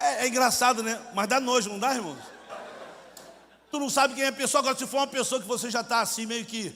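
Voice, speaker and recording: A man with an extremely high pitch speaks in a raised, projected voice at a very fast pace, broken by long, frequent pauses. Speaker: missionary preacher. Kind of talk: sermon. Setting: church congress with audience. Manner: animated, acts out dialogue; colloquial, informal.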